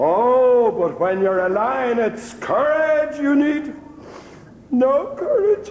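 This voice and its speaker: In a put-on character voice pitched extremely high, a man speaks at a very slow pace, with clear echo and clear background noise around him. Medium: stage play.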